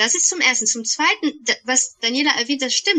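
A woman's raised, projected voice with lively intonation. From Germany, Bonn. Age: 40s. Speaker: podcast co-host, energy practitioner. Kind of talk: casual chat. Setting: remote call.

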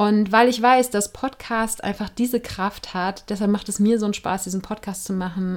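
This woman has an ordinary speaking voice at a medium pitch. She keeps a moderate pace and fairly even intonation. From Germany, Cologne. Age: 40s. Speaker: podcast host. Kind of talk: solo podcast monologue.

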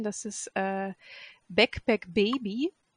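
Her voice sits at a medium pitch. The woman is recorded with a dry, close sound that has no echo. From Göttingen, Lower Saxony, Germany. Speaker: hobby sewist, pattern tester. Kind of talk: casual chat. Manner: halting, many fillers.

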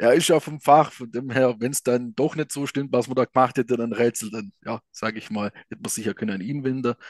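Against a quiet background with a dry, close sound and no echo, a man speaks with a southwest German accent at a fairly quick pace. His intonation stays fairly even, though his loudness swings widely. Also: medium pitch for a man. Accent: regional southwest German dialect. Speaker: escape room operator. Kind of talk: interview.

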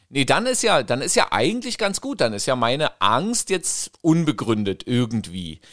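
A man talks at a moderate pace and fairly high pitch, with very wide pitch swings and hardly any pauses. The recording is very clean with a silent background. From East Germany. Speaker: podcast host, parent. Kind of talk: casual chat.

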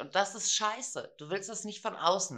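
The woman's tone is bright and sharp, and her pace is moderate. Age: 40s. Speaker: podcast co-host. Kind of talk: casual chat.

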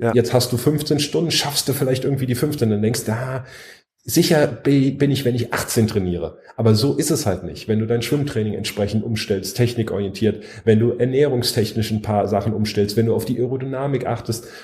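Somewhat breathy, a man speaks at medium pitch. His pace is moderate and his pitch variation ordinary. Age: 30s. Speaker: triathlete and coach. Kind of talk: casual chat.

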